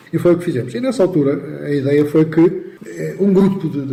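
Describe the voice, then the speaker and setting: A man's voice is heard here. Around it come noticeable background noise and audible room echo. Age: 70s. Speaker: accountant, former professional body president. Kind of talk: radio interview.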